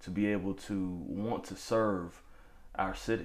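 A man with a fairly low voice talks in a room where echo is audible. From New Bern, North Carolina. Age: 20s. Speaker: podcast host. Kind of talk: interview.

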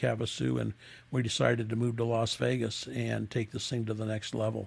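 With an American accent, a man speaks at a fairly quick pace in a flat, monotone delivery at a medium pitch. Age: 70s. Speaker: custom motorcycle builder. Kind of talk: interview. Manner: halting.

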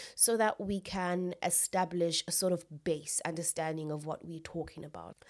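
With hardly any pauses, a woman in a plain, everyday voice speaks at a fairly low pitch, her intonation fairly even but her loudness swinging widely. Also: moderate pace. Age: 20s. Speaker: podcast host. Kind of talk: solo educational podcast talk. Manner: casual, with laughter.

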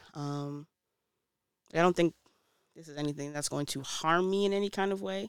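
A woman's nervous tone at a moderate pace, with ordinary pitch variation. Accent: American. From Brooklyn, New York. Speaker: podcast host. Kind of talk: casual solo podcast monologue. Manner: nervous, stumbling, laughs often.

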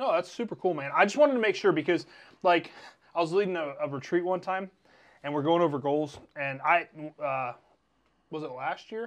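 Against a quiet background, a man with an American accent speaks at a high pitch with ordinary pitch variation and long, frequent pauses. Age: 30s. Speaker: podcast host. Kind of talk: casual chat.

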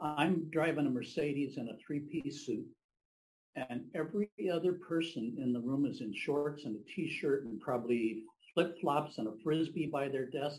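A somewhat breathy man's voice, fairly high in pitch, with ordinary pitch variation and a moderate pace. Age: 70s. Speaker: business professional, audience member. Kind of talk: audience comment.

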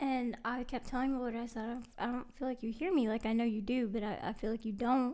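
A woman's high-pitched voice. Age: 20s. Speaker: guest co-host. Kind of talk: casual chat.

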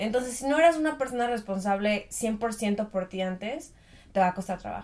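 The intonation here is lively. The pace is moderate. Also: woman, fairly high pitch for a woman. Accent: Mexican. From Mexico. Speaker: podcast co-host. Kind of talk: casual chat.

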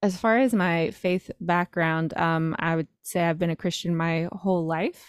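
Recorded very cleanly against a silent background with a dry, close, echo-free sound, a woman with an American accent and a fairly low pitch uses a normal speaking voice at a fairly slow pace. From North Carolina, rural. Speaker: podcast host and singles coach. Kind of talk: casual interview chat.

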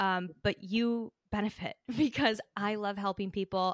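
The recording is very clean, with a silent background. A woman's voice sounds dry and close, without any echo. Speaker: business coach and podcast host. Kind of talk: interview answers, motivational talk. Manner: animated, emotional.

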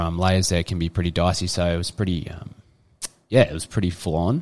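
Talking at a fairly quick pace, a man with an Australian accent has a very deep, low pitch. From Australia, eastern suburbs of Sydney. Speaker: former rugby league player. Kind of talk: casual interview chat.

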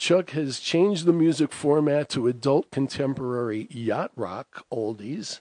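A man speaks with a dark, mellow tone at a medium pitch and ordinary pitch variation. The sound is dry and close, with no echo. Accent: New York. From Bronx, New York. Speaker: radio host. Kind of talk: radio show hosting.

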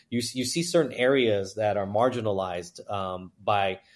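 At a moderate pace, a man speaks in an ordinary speaking voice, fairly low in pitch with ordinary variation, on a very clean recording with a silent background. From China, raised in US (New York, Houston). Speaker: entrepreneur and investor. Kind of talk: interview conversation. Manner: fluent but with many filler words.

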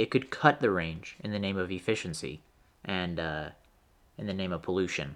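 On a very clean recording with a silent background, a man with a very deep, low pitch talks at a moderate pace with lively intonation. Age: 20s. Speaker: podcast host. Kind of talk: solo monologue. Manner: animated.

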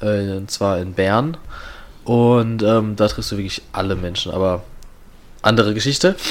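Fairly slow delivery with ordinary pitch variation and long, frequent pauses. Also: man, fairly low pitch for a man. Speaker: podcast host. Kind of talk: casual chat.

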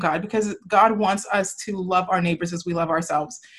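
A somewhat breathy woman at a fairly quick pace. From Nigeria. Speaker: podcast host. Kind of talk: casual chat. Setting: video call.

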